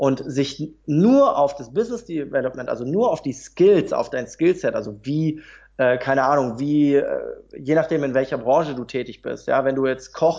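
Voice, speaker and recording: His pitch sits fairly high for a man. He keeps a moderate pace. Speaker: motivational speaker and trainer. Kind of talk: interview. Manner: calm.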